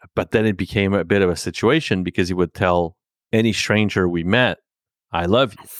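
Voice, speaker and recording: In a very clean recording with a silent background and a dry, close sound with no echo, a man with a French accent speaks fairly quickly in a very deep, low pitch with ordinary pitch variation. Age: 40s. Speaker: podcast host. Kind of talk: casual interview. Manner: halting, many fillers.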